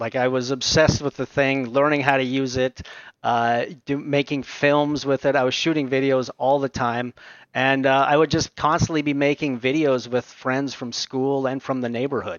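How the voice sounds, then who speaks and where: In a Canadian accent, a plain, everyday voice speaks at a moderate pace with fairly even intonation. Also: man. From Canada, Ontario (Aurora, north of Toronto). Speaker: VFX supervisor and filmmaker. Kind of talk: interview conversation.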